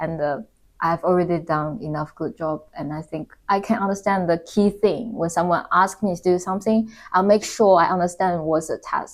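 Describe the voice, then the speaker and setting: A woman with a Chinese accent, fairly low pitch, ordinary pitch variation and a moderate pace, in a very clean recording with a silent background. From China. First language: Mandarin Chinese. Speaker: corporate employee. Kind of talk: interview.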